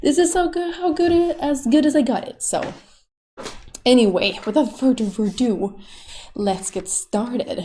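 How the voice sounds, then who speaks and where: A woman with a Swedish accent has a dark, mellow tone and very wide pitch swings. The recording is very clean, with a silent background. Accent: Swedish, non-native English. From Sweden. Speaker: YouTube artist. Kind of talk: tutorial. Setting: home recording while drawing. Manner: casual, rambling with fillers.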